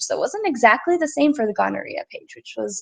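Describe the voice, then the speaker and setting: A woman speaks at a fairly quick pace against a quiet background. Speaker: student presenter. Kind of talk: class presentation. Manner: fast; slurred words.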